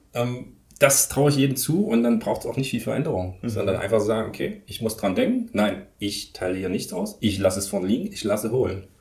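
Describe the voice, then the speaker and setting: A man's somewhat breathy, medium-pitched voice with lively intonation, at a fairly quick pace with hardly any pauses. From eastern Germany, Leipzig. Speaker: professor of movement and sports education. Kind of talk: interview. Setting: office at a university sports campus.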